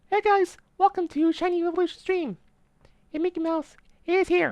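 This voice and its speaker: A put-on character voice sits at an extremely high pitch. The pace is moderate. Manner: cheerful.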